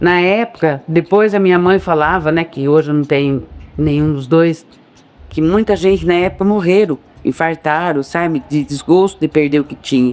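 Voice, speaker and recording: Talking at a moderate pace in an unremarkable speaking voice, this man has a fairly high pitch with ordinary variation. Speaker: local resident interviewee. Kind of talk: documentary interview testimony.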